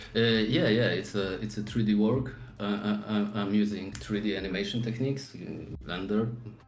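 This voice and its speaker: A man with a fairly low pitch is heard through audible room echo and noticeable background noise. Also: ordinary pitch variation, moderate pace. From Poland. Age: 40s. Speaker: 3D artist. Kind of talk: interview. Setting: live stream. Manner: halting.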